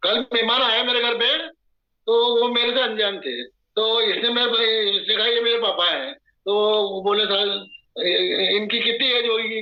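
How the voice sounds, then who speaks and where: A man speaks at an extremely high pitch with fairly even intonation. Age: 70s. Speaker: water device distributor's father, user. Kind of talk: testimony. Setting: video call.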